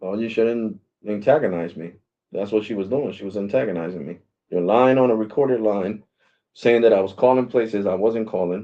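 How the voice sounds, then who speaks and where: Speaking at a fairly quick pace, a man with a fairly low pitch shows big swings in loudness and ordinary pitch variation. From Puerto Rico. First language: Spanish. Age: 40s. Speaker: live streamer on a customer service call. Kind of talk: heated phone complaint. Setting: phone call on live stream. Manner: animated.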